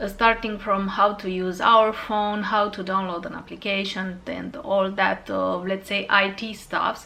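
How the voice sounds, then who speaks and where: Amid noticeable background noise and audible room echo, a woman with a Romanian accent and medium pitch speaks at a fairly slow pace with fairly even intonation and hardly any pauses. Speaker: fragrance YouTuber. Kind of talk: casual vlog talk to camera. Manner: halting, many fillers.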